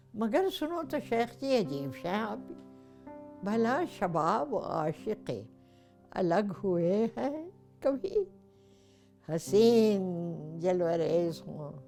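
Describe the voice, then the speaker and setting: A woman speaks with big swings in loudness. Music plays in the background. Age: 80s+. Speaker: actress. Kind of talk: poetry reading.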